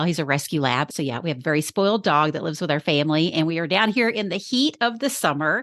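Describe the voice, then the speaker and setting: A woman with a Texas accent speaks at a fairly low pitch. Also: quiet background. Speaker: podcast strategist. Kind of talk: podcast interview.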